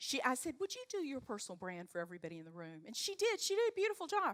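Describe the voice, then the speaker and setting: A woman with a Southern accent speaks with very wide pitch swings. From US South, North Carolina. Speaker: leadership coach. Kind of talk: talk to a live audience. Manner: animated.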